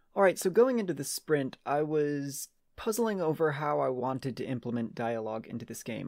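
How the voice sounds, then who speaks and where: Against a quiet background, a man talks at a very fast pace with lively intonation. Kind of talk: devlog commentary. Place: home room.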